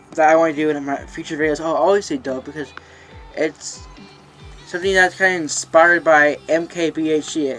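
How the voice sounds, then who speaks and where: A man with a fairly high pitch and monotone, flat intonation, over music in the background. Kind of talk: casual vlog talk to camera. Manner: fast, some stuttering.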